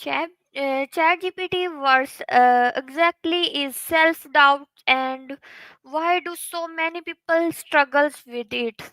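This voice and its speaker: At a very slow pace, a woman with an extremely high pitch and a bright, sharp tone projects a raised voice with ordinary pitch variation, recorded dry and close with no echo. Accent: Pakistani. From Pakistan, Punjab (Kasur). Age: young. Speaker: content creator. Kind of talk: interview. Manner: halting.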